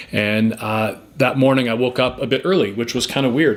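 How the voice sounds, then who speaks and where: There is noticeable background noise behind this voice. A man talks with a Canadian accent at a medium pitch. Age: 40s. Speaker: motivational speaker and former teacher. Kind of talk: personal testimony. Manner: fast; halting, many fillers.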